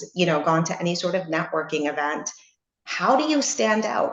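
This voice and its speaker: Woman with a Canadian accent and an ordinary speaking voice, fairly low-pitched, with ordinary pitch variation and a moderate pace. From Canada, Toronto. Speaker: webinar speaker. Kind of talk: webinar presentation. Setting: video call.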